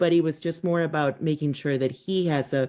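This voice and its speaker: A woman with a Spanish accent, very deep and low in pitch, with a dark, mellow tone, monotone, flat intonation, a moderate pace and a quiet background. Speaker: podcast host, unschooling parent. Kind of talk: podcast interview.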